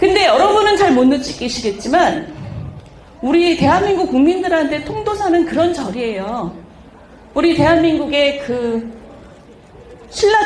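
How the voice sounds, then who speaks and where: Over noticeable background noise, the speaker talks at a fairly slow pace with long, frequent pauses. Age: 50s. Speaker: politician. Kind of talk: casual chat.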